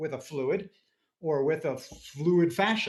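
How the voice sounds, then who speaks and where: With a somewhat breathy quality, a man talks, his pitch shifting in an ordinary way. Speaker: anatomist. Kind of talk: interview conversation. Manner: fast.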